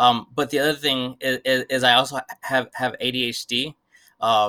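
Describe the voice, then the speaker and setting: A man with an American accent speaks in a bright, sharp tone with fairly even intonation on a very clean recording with a silent background. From South Central Los Angeles. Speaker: community organizer. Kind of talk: interview. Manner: halting, repeats words.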